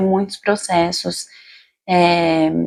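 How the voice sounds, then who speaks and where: Here a woman speaks in a São Paulo accent. Her tone is dark and mellow. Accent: Paulistano Brazilian Portuguese. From Brazil, São Paulo city. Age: 30s. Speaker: general practitioner doctor. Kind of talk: self-introduction video monologue. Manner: casual, conversational.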